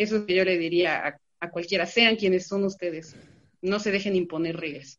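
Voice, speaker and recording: A woman with a plain, everyday voice speaks at a fairly quick pace, using a medium pitch and fairly even intonation. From Veracruz, Mexico. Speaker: LGBT youth activist. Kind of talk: panel discussion.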